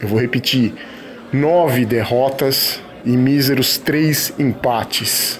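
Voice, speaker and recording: Very slow speech in a fairly even intonation, over noticeable background noise. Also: man, medium pitch for a man. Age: 40s. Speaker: football commentator. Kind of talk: opinion monologue.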